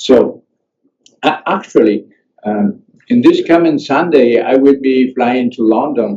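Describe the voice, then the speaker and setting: A man speaks at a very slow pace with an Italian accent. His tone is dark and mellow. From Italy. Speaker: coach and trainer. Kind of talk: panel discussion. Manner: halting.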